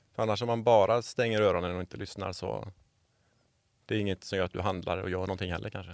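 Very fast and fairly low-pitched, a man talks with fairly even intonation in a dry, close sound with no echo on a very clean recording with a silent background. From Sweden, Borås. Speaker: environmental organisation worker. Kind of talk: interview conversation. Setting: studio.

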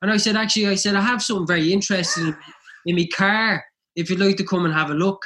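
Here a man speaks at a very fast pace in a high pitch. His voice is raised and projected, with a bright, sharp tone. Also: fairly even intonation. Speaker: podcast co-host, memorabilia dealer. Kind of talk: casual podcast chat.

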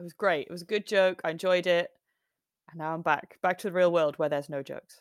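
A woman talking at a very fast pace, big swings in loudness, and a dry, close sound with no echo. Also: fairly low pitch for a woman, very clean recording, silent background. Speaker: podcast co-host and magazine founder. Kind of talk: casual chat. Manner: animated.

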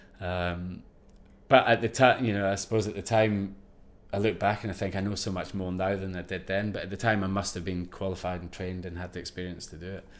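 A man with a Scottish accent talks very fast in a very deep, low pitch, his intonation monotone and flat while his loudness swings widely. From Scotland, Ayrshire coast. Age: 40s. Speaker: former commando sniper and expedition safety specialist. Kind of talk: interview.

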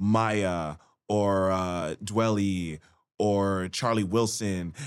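A man speaks in a very deep, low voice with flat, monotone intonation, captured in a very clean recording against a silent background. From Canada. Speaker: rapper. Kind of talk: casual chat.

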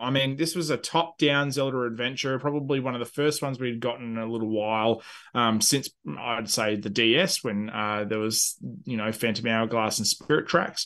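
In an Australian accent, a man with a medium pitch and a bright, sharp tone speaks at a moderate pace with ordinary pitch variation over a quiet background. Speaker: gaming podcast co-host. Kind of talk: casual chat. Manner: animated, sweary.

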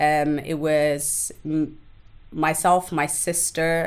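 A woman's very deep, low voice, monotone and flat, on a very clean recording with a silent background. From Somalia, raised in London from youth. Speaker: activist and abuse survivor. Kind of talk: personal testimony in casual interview.

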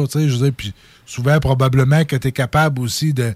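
The voice is a man's, pitched at a medium level. There is a somewhat breathy quality to it. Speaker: radio host. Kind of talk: casual chat. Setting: radio studio.

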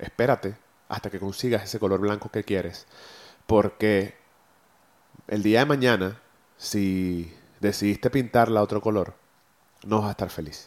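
On a very clean recording with a silent background, a man speaks at a fairly slow pace with fairly low pitch. His intonation stays fairly even, broken by long, frequent pauses. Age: 30s. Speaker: podcast host and photographer. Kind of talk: solo motivational monologue. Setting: recording on camera and audio. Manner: halting, many repeated words.

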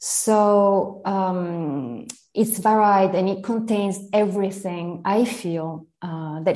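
In an Italian accent, a woman with a dark, mellow tone speaks at a medium pitch with ordinary pitch variation. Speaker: literary translator and teacher. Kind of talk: interview about literature.

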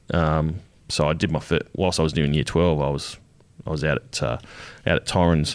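A man with an Australian accent speaks at a fairly quick pace in a very deep, low voice, his intonation fairly even, his loudness very even, and his pauses long and frequent. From Adelaide, South Australia. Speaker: army veteran and art student. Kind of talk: interview. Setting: studio.

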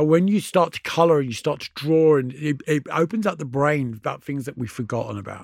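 With a British accent, a man speaks at a fairly quick pace with hardly any pauses, a fairly high pitch and ordinary pitch variation. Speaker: DJ and author. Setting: studio.

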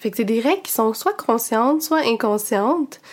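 A woman talks with a high pitch at a moderate pace, her pitch varying in an ordinary way. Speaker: podcast host. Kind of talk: educational podcast monologue.

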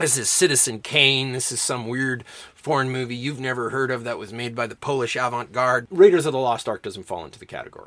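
Talking at a very fast pace with hardly any pauses, a man at medium pitch shows ordinary pitch variation and big swings in loudness over noticeable background noise. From Canada, Alberta. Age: 40s. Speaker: English professor and podcast host. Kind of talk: lecture.

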